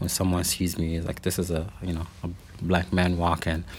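The speaker has a Middle Eastern accent. The pace is moderate. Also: man. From Lebanon. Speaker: city diversity director. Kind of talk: interview conversation. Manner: halting, with many filler words.

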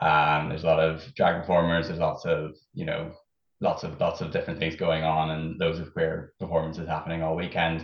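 The man's voice is very deep and low, moving at a fairly quick pace with monotone, flat intonation. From Northern Ireland, County Fermanagh. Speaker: Eurovision superfan. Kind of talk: casual chat. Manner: halting.

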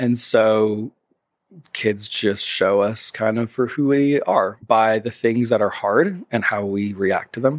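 On a very clean recording with a silent background, a man with an American accent speaks at a very slow pace with ordinary pitch variation. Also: medium pitch for a man. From Tennessee, US (Nashville/Knoxville). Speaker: church communications director and graphic designer. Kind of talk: casual interview.

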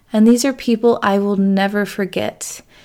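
A woman speaks with a West Coast accent at a medium pitch. Her pace is fairly slow. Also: very clean recording, silent background. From rural Oregon. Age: 30s. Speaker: podcast host, social worker and coach. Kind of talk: solo monologue, personal story. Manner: animated.

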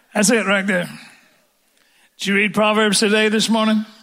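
Bright and sharp, the tone stands out. The voice is raised and projected. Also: man. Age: old. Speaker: preacher. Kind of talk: sermon. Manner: animated.

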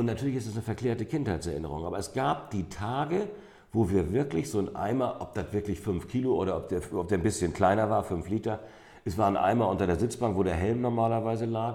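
A man with a dark, mellow tone and fairly low pitch talks at a very fast pace, his pitch varying in an ordinary way. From northern Germany, St. Peter-Ording (North Sea coast). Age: 50s. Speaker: amber expert and shop owner. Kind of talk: interview. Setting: in a shop.

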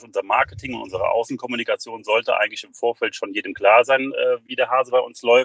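The sound is dry and close, with no echo. The speech moves at a fairly quick pace. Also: man. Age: 40s. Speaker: fitness studio and physiotherapy practice owner. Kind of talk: interview. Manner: hesitant with fillers.

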